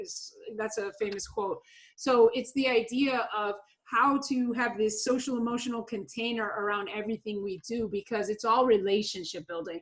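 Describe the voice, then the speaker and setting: A woman's energetic voice, fairly high-pitched, at a moderate pace with ordinary pitch variation. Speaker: motivational speaker and after-school educator. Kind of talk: webinar interview. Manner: loud.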